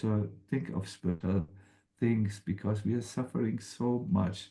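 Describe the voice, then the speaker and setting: A man speaks in a German accent. His tone is dark and mellow. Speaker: spiritual teacher. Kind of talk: spiritual talk. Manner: halting.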